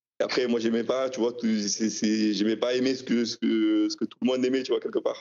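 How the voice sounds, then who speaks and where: Speaking at a moderate pace with hardly any pauses, a man holds a medium pitch in monotone, flat intonation. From France. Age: 50s. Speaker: trading card collector. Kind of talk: interview.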